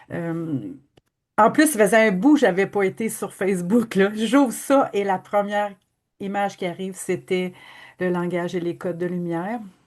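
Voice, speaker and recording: Speaking at a moderate pace with a Quebec accent, a woman keeps a medium pitch with ordinary pitch variation. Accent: Québécois French. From Quebec, Abitibi-Témiscamingue. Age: 60s. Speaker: energy healing practitioner. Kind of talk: testimony.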